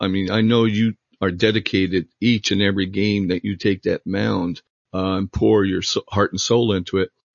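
Speaking at a moderate pace, a man has an unremarkable speaking voice. His pitch is fairly low, with ordinary variation. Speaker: podcast host and former team photographer. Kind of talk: interview.

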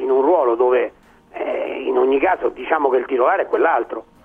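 Noticeable background noise is audible. Amid it, a man's speech moves at a moderate pace. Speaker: sports pundit. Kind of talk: panel discussion.

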